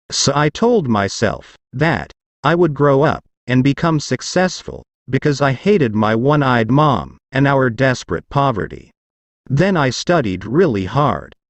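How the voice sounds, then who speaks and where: This man performs a put-on character voice with a growl, at a medium pitch and a moderate pace. His intonation is lively while his loudness stays very even. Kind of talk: learner story narration. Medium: read story.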